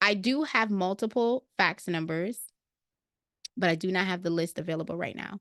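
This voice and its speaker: An animated voice with an American accent and ordinary pitch variation comes through in a dry, close sound with no echo and a quiet background. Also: woman. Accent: New York with occasional Jamaican twang. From Brooklyn, New York, Jamaican family. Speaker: credit repair software trainer. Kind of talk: live Q&A webinar. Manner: casual, animated.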